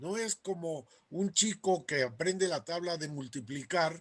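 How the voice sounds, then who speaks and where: A high-pitched man with ordinary pitch variation. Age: 80s+. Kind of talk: talk to a group.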